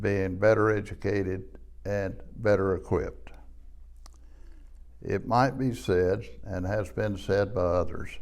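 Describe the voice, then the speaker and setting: A man's fairly low, fairly slow voice with vocal fry and an Appalachian accent, ordinary pitch variation, long, frequent pauses, and audible room echo. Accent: Appalachian Southern US. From US Appalachia, southwest Virginia (Wise County). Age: 80s+. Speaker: retired economic development director, lecturer. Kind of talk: lecture. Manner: formal.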